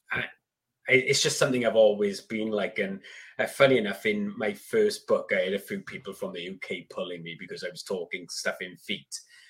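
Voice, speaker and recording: A man with an English accent at a fairly quick pace, with big swings in loudness. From UK. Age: 40s. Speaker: gardening YouTuber and author. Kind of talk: casual chat. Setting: video call.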